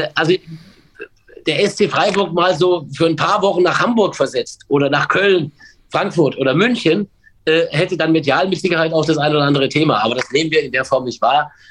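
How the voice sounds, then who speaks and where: A fairly high male voice at a fairly quick pace with ordinary pitch variation. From Baden-Württemberg (Pforzheim), Germany. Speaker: sports commentator and stadium announcer. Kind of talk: casual chat. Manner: halting.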